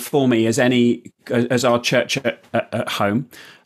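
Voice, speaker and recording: A man with a southern English accent talks at a fairly slow pace. The recording is very clean, with a silent background. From southern England (Surrey). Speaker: priest and jazz musician. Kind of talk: interview testimony.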